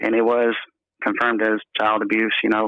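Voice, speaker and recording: A man with an American accent, at a moderate pace. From North Carolina. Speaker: caller, evangelist preacher. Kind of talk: advice call, casual chat. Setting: phone call. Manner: halting, repeats words.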